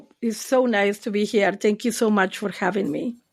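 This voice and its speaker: A woman with a Spanish accent. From Argentina. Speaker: therapist. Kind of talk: interview. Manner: hesitant, many fillers.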